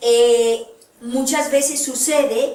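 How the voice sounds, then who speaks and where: A woman speaks at a very slow pace amid audible room echo and noticeable background noise. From Colombia. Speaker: therapist and lecturer. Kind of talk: lecture.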